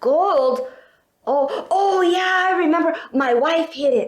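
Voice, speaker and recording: Putting on a character voice, a woman speaks fairly slowly at an extremely high pitch, with very wide pitch swings and very even loudness. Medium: read story. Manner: hesitant, befuddled.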